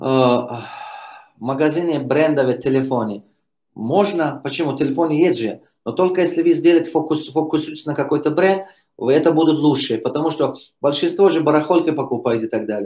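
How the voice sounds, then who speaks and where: A man's fairly high voice at a fairly quick pace, with ordinary pitch variation and an ordinary speaking voice. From Tajikistan. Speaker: business coach. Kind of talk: live Q&A.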